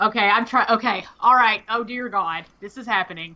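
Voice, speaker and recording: A woman with a Southern US accent, a bright, sharp tone, fairly high pitch, ordinary pitch variation and a fairly slow pace. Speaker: streamer, gamer.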